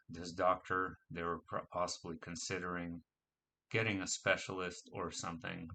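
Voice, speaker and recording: In an American accent, a bright, sharp tone comes through at a fairly slow pace. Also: man. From US (New York, Arizona, California). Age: 30s. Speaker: spiritual experiencer sharing story. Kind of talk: personal testimony. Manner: hesitant, many fillers.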